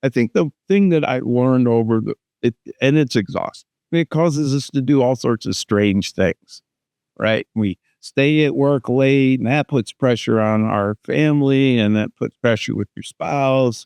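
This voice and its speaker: A man's medium-pitched voice at a fairly slow pace, with ordinary pitch variation, a dry, close sound with no echo, and a quiet background. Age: 60s. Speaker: business consultant. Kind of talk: podcast interview. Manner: halting, with many false starts.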